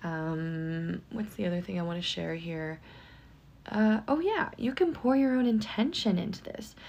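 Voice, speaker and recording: A woman speaks fairly slowly at a medium pitch with lively intonation in an unremarkable speaking voice. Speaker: psychic medium and hypnotherapist. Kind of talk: guided meditation; casual chat intro. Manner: calm, hypnotic, flowing.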